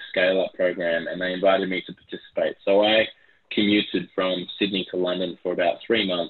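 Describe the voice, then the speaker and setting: With an Australian accent, the speaker talks at a moderate pace in a monotone, flat intonation. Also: man. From Brisbane, Australia. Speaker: tech company CEO. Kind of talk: interview.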